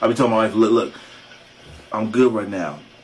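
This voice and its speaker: Background noise is clearly audible. Through it comes a man's voice. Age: 40s. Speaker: podcast co-host. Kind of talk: casual chat. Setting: studio.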